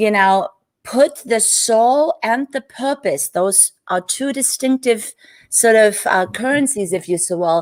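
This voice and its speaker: A woman with a German accent speaks very slowly at a fairly high pitch. The recording is very clean and dry, close and echo-free, with a silent background. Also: lively intonation. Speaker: business coach, entrepreneur. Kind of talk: interview on live stream.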